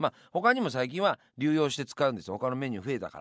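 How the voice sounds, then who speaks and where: Very fast speech from a man at medium pitch, dry and close with no echo, in a very clean recording over a silent background. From Yamanashi, Japan. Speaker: radio host. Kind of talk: radio monologue.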